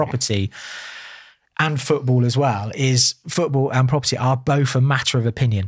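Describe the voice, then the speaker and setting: In a very clean recording with a silent background and a dry, close sound with no echo, a somewhat breathy man speaks fairly slowly at a medium pitch with fairly even intonation. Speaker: estate agent, property investor and auctioneer. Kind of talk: podcast interview answer.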